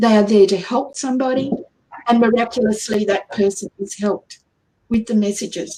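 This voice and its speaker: A woman's fairly high voice in an Australian accent, fairly even in intonation, at a moderate pace. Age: 60s. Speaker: angel channeler and healer. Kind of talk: radio interview. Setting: radio show.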